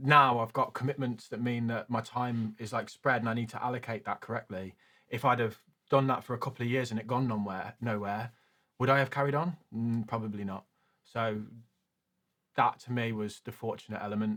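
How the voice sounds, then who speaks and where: In a very clean recording with a silent background, a man with a British accent speaks at a fairly quick pace in a bright, sharp tone, medium in pitch and fairly even in intonation. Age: 30s. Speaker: finance youtuber. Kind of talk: casual interview.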